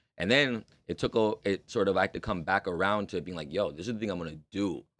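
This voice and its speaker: On a very clean recording with a silent background and a dry, close sound free of echo, a man with a fairly low pitch talks very fast with ordinary pitch variation. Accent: Toronto. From Canada, Toronto. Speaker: rapper. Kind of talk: casual interview chat.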